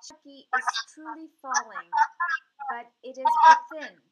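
A woman's raised, projected voice, bright and sharp in tone, at a fairly slow pace. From India. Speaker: radio talk show host. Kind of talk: interview.

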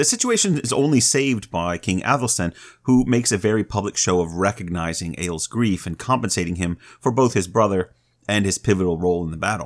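Very fast speech comes from a man with a fairly low pitch and ordinary pitch variation. The recording is very clean, with a silent background. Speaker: podcast co-host. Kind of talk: storytelling; casual chat.

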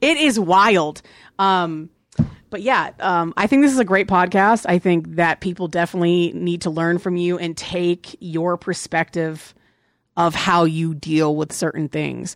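A woman with a normal speaking voice and an American accent talks fairly slowly at a fairly low pitch with ordinary pitch variation, on a very clean recording with a silent background and a dry, close sound with no echo. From Virginia. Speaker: podcast co-host. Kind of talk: casual chat.

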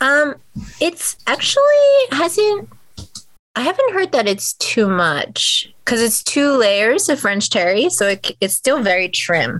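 Speaking at a fairly slow pace with an American accent, a woman's high voice makes very wide pitch swings while her loudness stays very even. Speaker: cloth diaper business owner. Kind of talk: interview.

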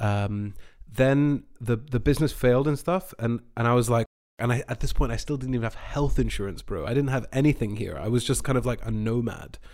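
A man with a Scottish accent speaks at a fairly quick pace, with medium pitch and ordinary pitch variation. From Scotland. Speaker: voice actor. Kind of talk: casual chat.

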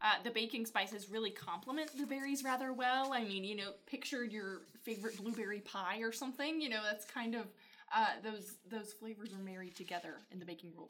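Speaking at a fairly quick pace, a woman with an American accent uses a bright, sharp tone, a fairly high pitch and ordinary pitch variation. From Georgia, US. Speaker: podcast co-host, wine learner. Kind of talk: casual chat.

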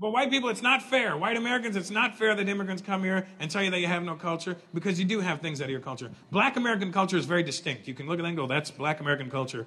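With noticeable background noise behind him, a man talks at a very fast pace with hardly any pauses, using a high pitch and lively intonation. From North America.

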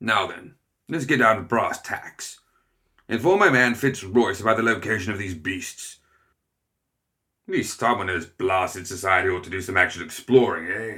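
Putting on a character voice, a man growls in a gruff, medium-pitched tone at a moderate pace with long, frequent pauses, on a very clean recording with a silent background. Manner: gruff, blustering, impatient.

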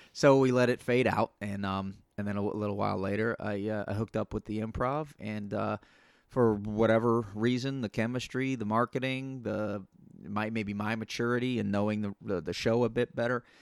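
Delivered at a fairly quick pace with fairly even intonation, a plain, everyday voice with an American accent comes through in a dry, close sound with no echo on a very clean recording with a silent background. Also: man, fairly low pitch for a man. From US. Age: 40s. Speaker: comedian. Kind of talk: casual chat.

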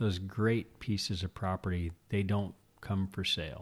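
The recording is very clean, with a silent background. A man with an American accent speaks at a moderate pace and fairly even intonation. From California, Santa Maria Valley. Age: 40s. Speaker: rancher and winemaker. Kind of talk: casual interview chat. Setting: at host's kitchen table.

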